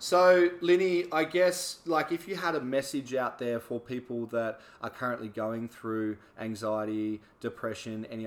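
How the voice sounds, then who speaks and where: Speaking with an Australian accent, a man keeps a medium pitch and ordinary pitch variation. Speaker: podcast host and personal trainer. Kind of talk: casual interview chat.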